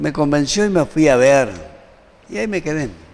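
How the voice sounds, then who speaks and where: A man's voice against noticeable background noise. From Argentina, Formosa. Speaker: doctor, surgeon. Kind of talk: interview. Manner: lively.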